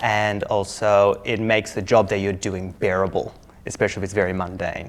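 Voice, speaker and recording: A man's fairly low voice in an Australian accent at a moderate pace. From Australia, Melbourne. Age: 20s. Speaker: IELTS test candidate. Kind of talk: mock speaking exam interview. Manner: casual, hesitant with fillers.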